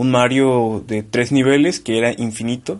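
An unremarkable speaking voice from a man, medium in pitch, with fairly even intonation at a fairly slow pace. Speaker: podcast co-host. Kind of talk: casual chat.

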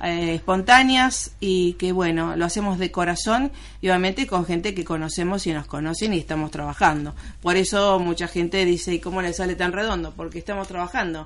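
A woman talks in a plain, everyday voice, fairly low in pitch. Her pace is fairly quick and her pitch variation ordinary. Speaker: radio host and producer. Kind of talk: radio interview.

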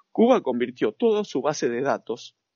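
A man with an Argentine accent, speaking at a fairly slow pace with very wide pitch swings. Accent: Argentine Spanish (Rioplatense). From Argentina. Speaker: sports nutritionist. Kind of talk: interview.

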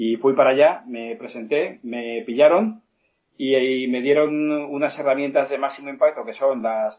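A man's medium-pitched voice at a fairly slow pace. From Spain, Alicante. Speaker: sales trainer and author. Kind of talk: interview. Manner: halting. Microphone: poor connection.

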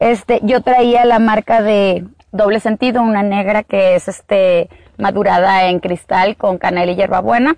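A woman speaks in an ordinary speaking voice at medium pitch, fairly slowly and with fairly even intonation. The sound is dry and close with no echo, and her loudness stays very even. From Sonora, Mexico. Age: 40s. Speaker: agave producer and entrepreneur. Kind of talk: interview. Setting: outdoors in an agave field.

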